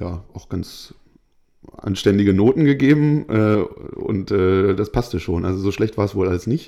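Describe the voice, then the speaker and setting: At a fairly slow pace, a man talks with a dark, mellow tone and fairly low pitch. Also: ordinary pitch variation. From northern Germany, Hanover region. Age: 20s. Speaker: football referee. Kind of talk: interview.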